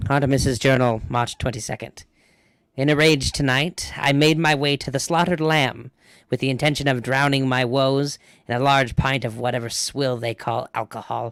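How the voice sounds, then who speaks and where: In a put-on character voice, a man speaks at a fairly high pitch and a moderate pace on a very clean recording with a silent background. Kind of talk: villainous journal narration. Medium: actual play. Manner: grandiose, self-important.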